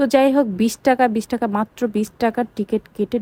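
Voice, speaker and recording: Somewhat breathy and dark, mellow in tone, a woman's voice comes through dry and close with no echo. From Bangladesh. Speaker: vlogger. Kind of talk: casual vlog narration.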